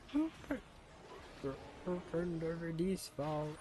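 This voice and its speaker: A put-on character voice at a middle pitch moves at a fairly slow pace over clear background noise. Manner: commanding, urgent.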